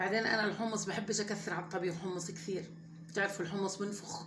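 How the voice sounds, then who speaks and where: A woman with a Levantine accent talks at a fairly quick pace and a medium pitch in a monotone, flat intonation, with audible room echo and noticeable background noise. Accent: her own everyday Levantine dialect. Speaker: home cooking vlogger. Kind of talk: cooking tutorial, casual chat. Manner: conversational, hesitant with fillers.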